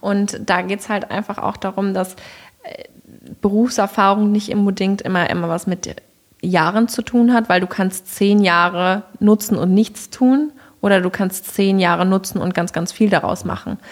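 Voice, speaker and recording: This woman has a medium pitch and fairly even intonation, speaking at a moderate pace. Noticeable background noise can be heard. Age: 20s. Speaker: headhunter. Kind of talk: casual interview.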